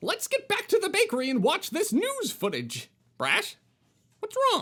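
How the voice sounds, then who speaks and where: At an extremely high pitch, a put-on character voice moves along at a moderate pace. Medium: read story. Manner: upbeat, jokey.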